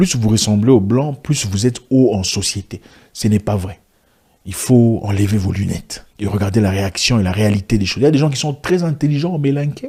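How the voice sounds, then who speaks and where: With a dark, mellow tone and some breathiness, a man speaks at a moderate pace in a fairly low voice with lively intonation. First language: African language, not French (speaking French). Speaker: business commentator, vlogger. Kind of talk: video monologue. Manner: animated.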